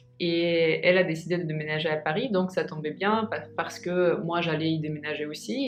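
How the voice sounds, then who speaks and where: Music plays behind a woman with a Russian accent, and room echo is audible. She talks at a fairly slow pace with fairly even intonation. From Russia, Moscow. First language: Russian (speaking French). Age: 20s. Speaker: vlogger. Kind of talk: casual vlog talk. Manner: halting, many hesitations.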